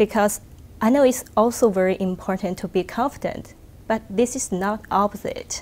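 Spoken at a moderate pace with a Chinese accent, the voice keeps a fairly even intonation. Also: woman, fairly high pitch for a woman. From China. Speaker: research engineer. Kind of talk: interview answer. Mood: calm, thoughtful, friendly. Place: hall. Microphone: lapel.

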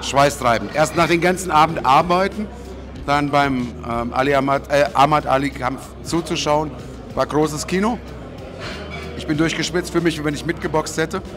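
Over music in the background, a man with a fairly high pitch and ordinary pitch variation talks at a moderate pace with long, frequent pauses. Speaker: ring announcer and host. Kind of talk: interview answer. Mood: relaxed, upbeat. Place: hall. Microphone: handheld.

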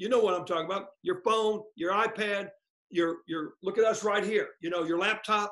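Against a quiet background, a man with an American accent uses a raised, projected voice that is high-pitched, with a bright, sharp tone. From Oklahoma. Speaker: lawyer and former state attorney general. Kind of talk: interview. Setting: video call. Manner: fast talker; animated. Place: home room. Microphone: webcam.

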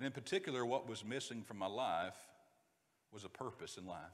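In a Southern US accent, a man talks at a fairly quick pace. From US South, North Georgia; Georgia. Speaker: preacher. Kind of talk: sermon. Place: church.

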